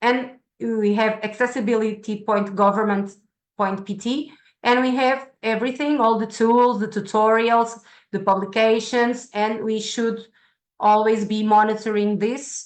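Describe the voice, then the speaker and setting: A woman with a fairly high voice speaks at a moderate pace in a monotone, flat intonation over a quiet background. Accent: Portuguese. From Portugal. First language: Portuguese. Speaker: science center staff presenter. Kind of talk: online presentation. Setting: video call. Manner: halting, many fillers.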